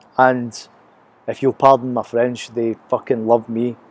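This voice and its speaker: A man speaks with a Glasgow accent at a moderate pace. The sound is dry and close, with no echo. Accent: Scottish (Glaswegian), noticed by Americans. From Scotland, Glasgow. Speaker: vlogger. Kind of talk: casual video diary. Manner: unscripted, hesitant with fillers.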